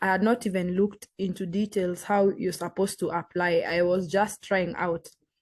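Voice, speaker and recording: Against a quiet background, a woman with a Kenyan accent speaks at a moderate pace. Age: young. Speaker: green card lottery applicant. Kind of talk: interview. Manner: halting.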